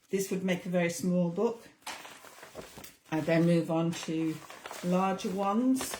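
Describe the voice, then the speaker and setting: A woman speaks with a northern English accent at a medium pitch. Her voice is somewhat breathy. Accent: English (northern England). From northern England. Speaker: craft tutor. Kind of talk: tutorial.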